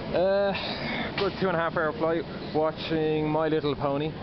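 A man is heard speaking over noticeable background noise. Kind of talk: casual vlog chat. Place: station. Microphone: phone near.

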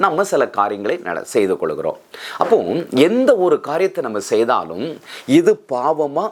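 A man with a fairly high voice swings his pitch very widely over noticeable background noise. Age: 50s. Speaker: pastor. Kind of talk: sermon.

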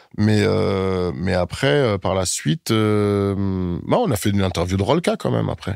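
Speaking at a fairly slow pace with hardly any pauses, a man uses a fairly low pitch with ordinary variation. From Germany, then Paris from age 10. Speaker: rapper and actor. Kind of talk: casual interview. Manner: hesitant, many fillers.

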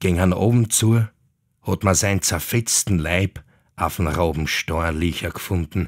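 Very deep and low, a man's voice moves at a very slow pace with ordinary pitch variation, in a dry, close sound with no echo. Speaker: actor reading legends. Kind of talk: old folk tale narration in dialect. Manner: animated, dialect-coloured.

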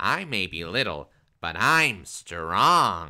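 The speaker uses a put-on character voice. The recording is very clean, with a silent background. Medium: read story.

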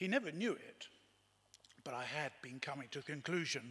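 Bright and sharp in tone, a man speaks with ordinary pitch variation. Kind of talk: eulogy reading. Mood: warm, reminiscent. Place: church. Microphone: podium.

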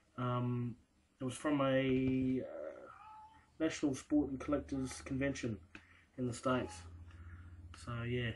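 A man speaks in an Australian accent over light background noise. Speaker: sports card collector and first-time video maker. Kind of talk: casual show-and-tell video. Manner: casual and hesitant, many fillers. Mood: relaxed, pleased. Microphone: webcam.

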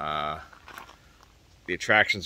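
Very deep, low male speech at a moderate pace, in a dry sound with no echo. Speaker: travel vlogger. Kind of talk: casual vlog chat. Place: open country. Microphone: phone near.

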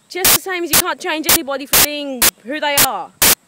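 A raised, projected voice at a moderate pace. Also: woman. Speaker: vlogger. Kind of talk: angry rant. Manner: impassioned, indignant; emphatic, repetitive.

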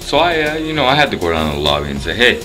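A man speaks with clear music in the background. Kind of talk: casual vlog chat. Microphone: phone near.

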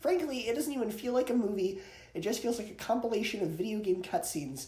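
A man's high-pitched voice, dark and mellow in tone, with lively intonation, a fairly quick pace and audible room echo.

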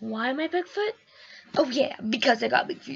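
Music plays in the background as a woman speaks. Her voice is high-pitched with lively intonation. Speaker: vlogger. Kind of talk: casual vlog. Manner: animated.

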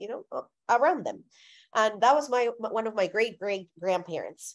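A woman with a Spanish accent speaks with lively intonation over a quiet background. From Colombia. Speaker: speaker on faith and theology. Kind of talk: talk followed by Q&A. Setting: video call. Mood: earnest, reflective. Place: home room. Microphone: video call.

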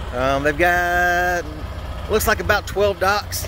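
There is noticeable background noise behind a man whose sound is dry, with no echo. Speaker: truck driver vlogger. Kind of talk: casual vlog chat. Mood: relaxed, mildly annoyed. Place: street. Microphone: phone near.

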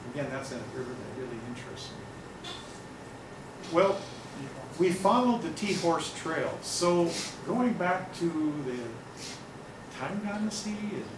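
Someone with an American accent talks at a fairly slow pace. There is noticeable background noise. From US Pacific Northwest, Seattle. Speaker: nature photographer and travel speaker. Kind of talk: slide-show talk to an audience. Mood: enthusiastic, informal. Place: meeting room. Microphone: camera far.

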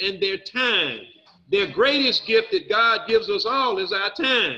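At a moderate pace, the speaker uses a raised, projected voice with ordinary pitch variation. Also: man. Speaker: recovery speaker. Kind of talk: personal testimony. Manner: animated.

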